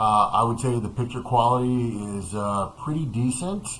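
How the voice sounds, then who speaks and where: Audible room echo comes through. A man is the one talking. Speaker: product reviewer. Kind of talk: product review. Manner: halting, many fillers. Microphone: webcam's built-in dual mics via laptop.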